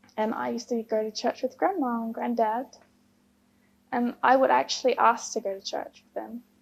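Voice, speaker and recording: A woman speaks at a fairly quick pace in an Australian accent. Her pitch is fairly high and her intonation fairly even. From Queensland, Australia. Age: 20s. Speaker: engineer, convert to Islam. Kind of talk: personal testimony interview. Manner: hesitant, many fillers.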